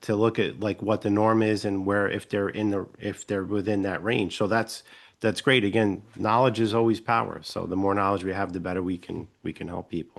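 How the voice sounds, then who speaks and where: A man with a New York accent, fairly low pitch, fairly even intonation and moderate pace, against a quiet background. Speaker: podcast host. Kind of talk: interview conversation.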